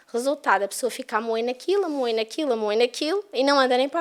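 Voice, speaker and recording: The speaker's pitch swings very widely, in a European Portuguese accent. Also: woman. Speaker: spiritist lecturer. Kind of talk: lecture.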